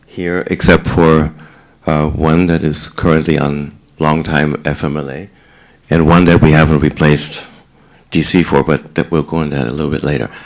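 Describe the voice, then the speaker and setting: Against noticeable background noise, a man with a German accent and a very deep, low pitch speaks in a monotone, flat way at a moderate pace, with long, frequent pauses. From Germany, Heidelberg. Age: 60s. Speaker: senior residence director. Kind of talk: talk to residents about himself.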